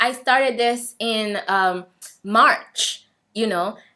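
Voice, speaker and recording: A woman speaks in an East African accent at a fairly high pitch with ordinary pitch variation. Her tone is bright and sharp. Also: very clean recording, silent background. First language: Swahili. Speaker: vlogger. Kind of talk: personal testimony.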